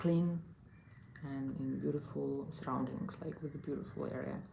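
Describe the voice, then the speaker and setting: There is audible room echo around a woman's dark, mellow tone. She has vocal fry and ordinary pitch variation. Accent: Russian. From Russia, small provincial town. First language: Russian. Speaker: online English teacher and travel vlogger. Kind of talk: casual vlog monologue. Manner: hesitant, many fillers.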